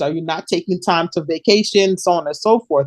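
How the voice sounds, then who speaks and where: Someone with a New Jersey accent talks at a fairly quick pace. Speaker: podcast host, military veteran. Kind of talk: casual chat. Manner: halting.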